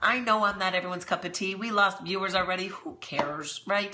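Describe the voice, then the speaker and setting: This woman has an American accent and a medium pitch. Her pitch variation is ordinary. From New York. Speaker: business coach. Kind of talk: live stream tutorial. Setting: live stream broadcast. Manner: casual, slangy.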